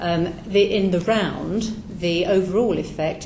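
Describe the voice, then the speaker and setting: Speaking with a British accent and fairly even intonation, a woman is heard with noticeable background noise and audible room echo. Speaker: charity advice organisation representative. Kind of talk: parliamentary committee evidence. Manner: soft-spoken.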